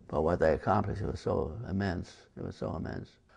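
At a moderate pace, a man with an American accent speaks with vocal fry. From New Jersey. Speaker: war veteran. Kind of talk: interview answer. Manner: hesitant.

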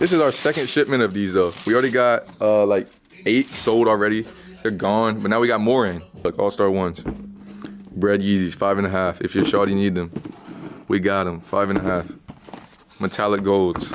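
There is noticeable background noise as a man with a fairly low voice speaks at a moderate pace, his pitch varying in an ordinary way. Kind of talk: casual vlog chat. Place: shop. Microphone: phone near.

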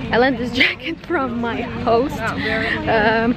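A woman's voice, dry and echo-free, with crowd noise behind it. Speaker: travel vlogger. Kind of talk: casual vlog chat. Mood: excited, a bit nervous. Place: street. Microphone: phone near.

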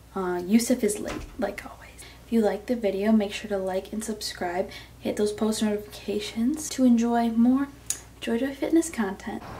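Against light background noise, a woman speaks at a moderate pace with ordinary pitch variation and big swings in loudness. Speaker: fitness vlogger. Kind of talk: casual vlog chat. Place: home room. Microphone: phone near.

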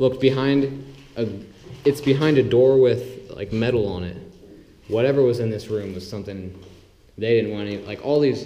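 With ordinary pitch variation and a moderate pace, a man talks while light noise sits in the background. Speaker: urban explorer vlogger. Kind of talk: casual vlog chat. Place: empty room. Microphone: phone near.

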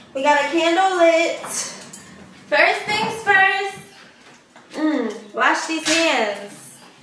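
A woman speaks at an extremely high pitch and a very slow pace. There is light background noise and audible room echo. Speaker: home cook vlogger. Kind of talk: casual vlog chat. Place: kitchen. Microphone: camera far.

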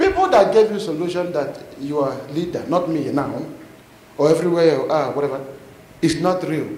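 Audible room echo and light background noise surround a man with a high pitch and ordinary pitch variation. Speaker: preacher. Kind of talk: fiery confrontational sermon, calling out the congregation directly. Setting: church. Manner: animated, punctuating lines with praise the Lord and amen; blunt, challenging, calls people forward from the crowd. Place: church. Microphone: handheld.

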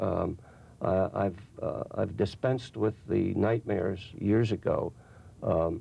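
A man with a fairly low voice. His tone is dark and mellow. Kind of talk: interview answer. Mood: somber, reflective. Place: studio.

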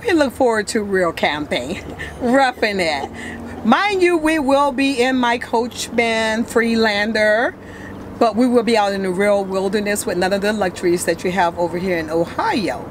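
Speaking at a moderate pace, a woman is heard over light background noise. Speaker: visiting friend interviewed by the host. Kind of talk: casual vlog chat. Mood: cheerful, laughing. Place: boat.

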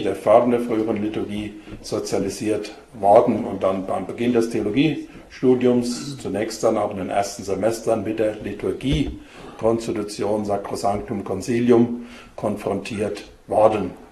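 With audible room echo and light background noise, a man talks at a fairly slow pace with fairly even intonation. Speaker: bishop giving a talk. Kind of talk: lecture. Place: hall. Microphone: podium.

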